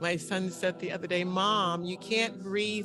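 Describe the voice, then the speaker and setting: A woman's medium-pitched voice at a fairly slow pace, with ordinary pitch variation and music in the background. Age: 60s. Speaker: worship participant. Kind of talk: personal sharing. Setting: video call.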